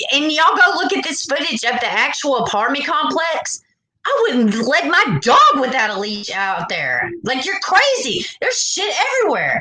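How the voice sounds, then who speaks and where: A woman with an American accent and a high pitch uses a raised, projected voice with very wide pitch swings. Audible room echo is present. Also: moderate pace. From US South. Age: 40s. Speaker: true crime livestreamer. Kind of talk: casual livestream chat. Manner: animated.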